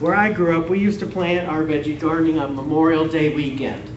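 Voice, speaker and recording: A man's animated tone at a moderate pace, with audible room echo and noticeable background noise. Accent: Wisconsin. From Wisconsin, US Upper Midwest. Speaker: gardening extension educator. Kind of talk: public lecture to audience. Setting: room with live audience. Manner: animated, interactive.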